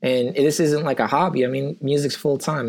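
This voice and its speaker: Talking at a moderate pace, a man has an unremarkable speaking voice with a fairly high pitch. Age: 30s. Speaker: musician. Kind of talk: casual chat. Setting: rented studio, video call. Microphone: good microphone, local recording.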